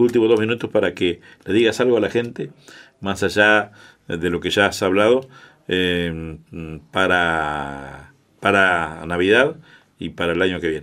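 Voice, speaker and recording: In a Uruguayan accent, a man speaks at a fairly slow pace with long, frequent pauses. His pitch is very deep and low, with ordinary pitch variation. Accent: Uruguayan Spanish (Rioplatense). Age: 60s. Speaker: radio host. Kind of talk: radio interview. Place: studio. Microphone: studio mic.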